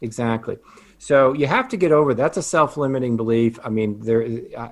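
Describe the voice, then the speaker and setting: A man talks at a fairly quick pace with ordinary pitch variation. He has an unremarkable speaking voice. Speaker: financial advisor and business coach. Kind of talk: casual interview chat.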